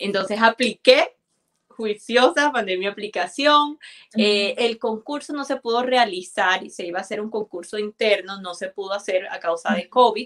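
A woman speaks in a normal speaking voice at a fairly high pitch and moderate pace, with ordinary pitch variation. Her loudness swings widely, and the sound is dry and close with no echo. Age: 20s. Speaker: immigrant guest sharing her story. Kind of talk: live interview.

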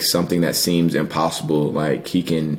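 Over noticeable background noise, a man with a very deep, low pitch speaks at a moderate pace in a monotone, flat intonation. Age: 20s. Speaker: college football player. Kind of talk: interview. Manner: halting.

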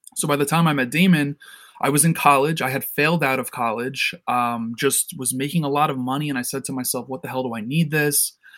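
In a very clean recording with a silent background, a man with an American accent and a plain, everyday voice speaks fairly quickly at a fairly high pitch, his intonation fairly even. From New York City. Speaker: entrepreneur, company CEO. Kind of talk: interview, casual chat.

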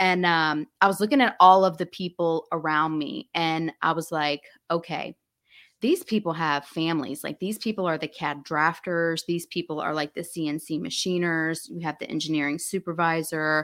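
A woman with a plain, everyday voice speaks at a fairly low pitch with fairly even intonation. The sound is dry and close, with no echo. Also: moderate pace. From US South, Alabama/Florida. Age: 40s. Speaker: skincare entrepreneur. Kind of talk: interview. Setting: video call.

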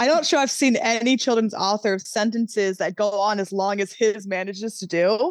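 With hardly any pauses, a woman talks at a fairly quick pace in a normal speaking voice, fairly high in pitch with ordinary pitch variation. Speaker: fantasy novelist. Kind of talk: casual interview.

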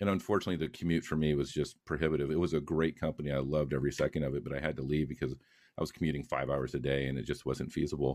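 In a very clean recording with a silent background, a man with a very deep, low pitch and vocal fry talks at a very fast pace with fairly even intonation and hardly any pauses. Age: 40s. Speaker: retired Air Force aircraft maintainer, law student. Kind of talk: interview podcast.

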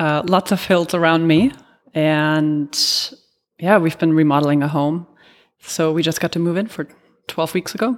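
A woman's fairly low voice with a German accent, ordinary pitch variation, a moderate pace and long, frequent pauses, on a very clean recording with a silent background. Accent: faint German. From Germany. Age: 30s. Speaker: amateur triathlete. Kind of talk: interview.

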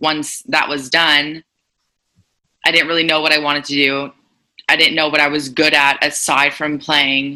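With a Montreal accent, a woman speaks at a moderate pace in a very deep, low pitch, her tone bright and sharp, her intonation monotone and flat, with long, frequent pauses. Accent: Montreal anglophone Canadian English. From Montreal, West Island (Pierrefonds), Quebec. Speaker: spin instructor. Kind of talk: casual interview.

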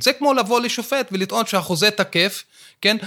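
This man's voice is raised and projected. His tone is bright and sharp, and his pace is moderate. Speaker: law professor. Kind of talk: interview discussion.

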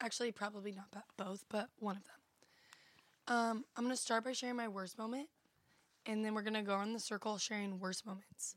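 A woman at a fairly quick pace with monotone, flat intonation. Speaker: podcast host. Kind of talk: casual chat. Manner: casual, filler-heavy.

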